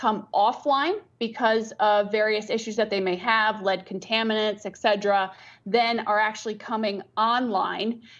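Over a quiet background, a woman speaks at a fairly slow pace with fairly even intonation. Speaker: remote guest. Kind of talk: interview answer. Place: office. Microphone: video call.

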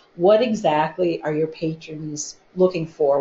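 Very slow, lively intonation from a woman with an American accent. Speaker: library staff member. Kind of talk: book discussion.

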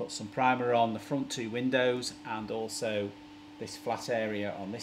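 Noticeable background noise sits behind a man who speaks at a moderate pace with fairly even intonation. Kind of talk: casual DIY vlog tutorial. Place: workshop.

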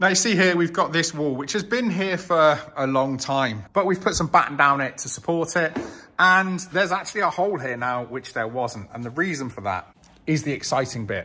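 The voice has a bright, sharp tone and lively intonation. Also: man, moderate pace. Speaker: car project vlogger. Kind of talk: casual vlog chat. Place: garage. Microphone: phone near.

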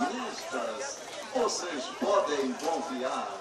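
A man speaks amid audible room echo, with crowd noise going on in the background. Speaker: street market announcer. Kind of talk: advertising announcement. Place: car.

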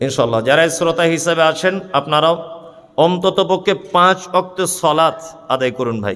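Here a man speaks with an unremarkable speaking voice. His fairly high pitch shows ordinary variation. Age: 30s. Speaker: Islamic preacher. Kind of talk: sermon.

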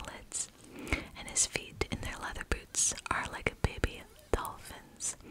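A soft-spoken whisper comes at a very slow pace. Light background noise sits underneath. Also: woman. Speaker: ASMR creator. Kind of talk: soft-spoken ASMR show-and-tell. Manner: soft close ASMR whisper reading. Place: home room. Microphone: studio mic.

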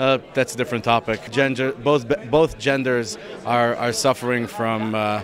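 A man speaks at medium pitch and a moderate pace, with fairly even intonation. Faint background noise can be heard.

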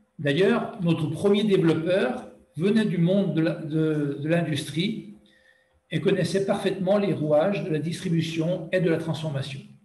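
The man speaks at a high pitch and a fairly slow pace with ordinary pitch variation. There is audible room echo. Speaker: territorial brand representative. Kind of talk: conference presentation.

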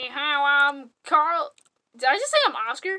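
This cartoonish character voice is pitched high. It moves at a fairly slow pace. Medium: puppet.

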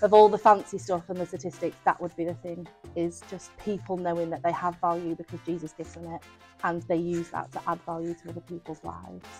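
Music plays faintly in the background. Over it, a woman talks at a very fast pace. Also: fairly low pitch for a woman, fairly even intonation. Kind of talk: interview answer. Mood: warm, earnest. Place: street. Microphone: lapel.

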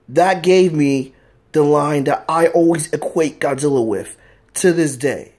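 In a quiet background, a man talks at a fairly slow pace with ordinary pitch variation. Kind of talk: casual vlog chat. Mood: earnest, emotional tribute. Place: home room. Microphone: phone near.

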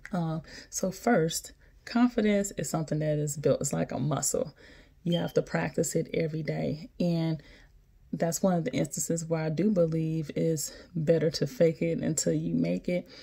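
Against a quiet background, a woman with a fairly low pitch speaks in a dark, mellow tone that is somewhat breathy. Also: ordinary pitch variation, moderate pace. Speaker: physician assistant vlogger. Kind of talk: casual vlog chat. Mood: encouraging, warm. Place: home room. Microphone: phone near.

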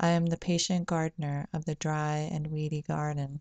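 A woman speaks with a very deep, low pitch and a dark, mellow tone in a monotone, flat intonation. The sound is dry with no echo against a quiet background. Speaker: poet and video channel host. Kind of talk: poetry reading, read aloud from a page. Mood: calm, gentle, reflective. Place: home room. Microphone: webcam.

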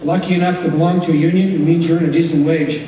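Against light background noise and audible room echo, a man speaks at a moderate pace in a monotone, flat intonation. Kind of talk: convention speech. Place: hall. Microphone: podium.

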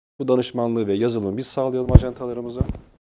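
A man's dark, mellow voice at a very fast pace. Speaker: human resources director; guest. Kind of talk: interview. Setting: studio. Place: studio. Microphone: lapel.

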